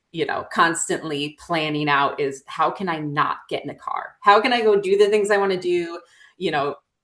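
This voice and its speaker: This woman has a fairly low pitch and an American accent. She talks at a moderate pace with ordinary pitch variation. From central New York, rural (Norwich). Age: 30s. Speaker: endurance hiker. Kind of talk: interview. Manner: casual, many filler words.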